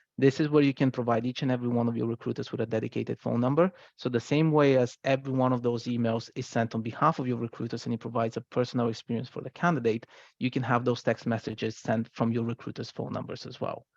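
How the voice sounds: Dry and close with no echo, a man's medium-pitched voice runs at a fast pace with little pitch movement, a slightly mellow tone and vocal fry.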